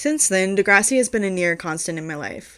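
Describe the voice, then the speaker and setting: Someone speaks at a moderate pace with a US East Coast accent. The recording is very clean, with a silent background. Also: woman. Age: 20s. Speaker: podcast host. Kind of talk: solo podcast monologue.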